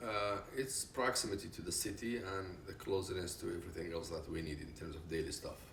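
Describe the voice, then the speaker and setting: With audible room echo, a man with a very deep, low pitch and ordinary pitch variation talks at a fairly quick pace with hardly any pauses. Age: 60s. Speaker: retired business consultant. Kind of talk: interview.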